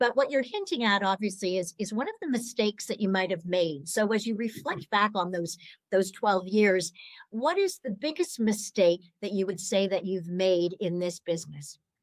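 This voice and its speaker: A woman with an ordinary speaking voice talks at a medium pitch and a moderate pace, with ordinary pitch variation. The sound is dry and close, with no echo. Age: 60s. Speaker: podcast host, startup coach. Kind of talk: interview podcast.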